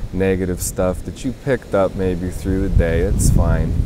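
Noticeable background noise fills the clip. A man talks over it. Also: dry sound with no echo. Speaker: meditation guide. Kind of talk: guided meditation. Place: beach.

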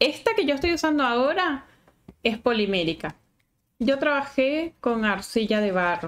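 Her high pitch swings very widely as this woman speaks at a fairly slow pace, her warm tone held at very even loudness. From Venezuela. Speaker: sculpting teacher. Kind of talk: live-stream tutorial. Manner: chatty, warm. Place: home room.

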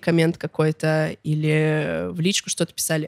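The background is quiet. The sound is dry with no echo. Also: woman. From Russia, Chita (Siberia); Russia. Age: 20s. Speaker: musician, blogger and festival organizer; blogger. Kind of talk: casual interview chat. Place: studio. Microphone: studio mic.

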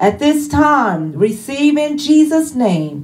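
A woman at a very slow pace, somewhat breathy, with very wide pitch swings. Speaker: church minister introducing the preacher. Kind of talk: worship service opening welcome and introduction. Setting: church service livestreamed online. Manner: fervent, punctuated with hallelujahs. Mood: warm, fervent.

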